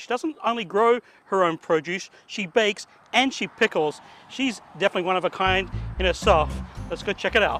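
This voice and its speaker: Over music in the background, a man talks at a fairly quick pace in a high pitch. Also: ordinary pitch variation, dry, close sound with no echo. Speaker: garden show host. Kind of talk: casual talk to camera.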